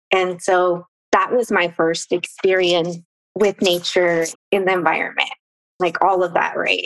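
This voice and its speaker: The speech comes at a fairly slow pace, with a dry, close sound and no echo. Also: woman. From Mexico, Morelos. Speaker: nonprofit founder. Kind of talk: casual chat.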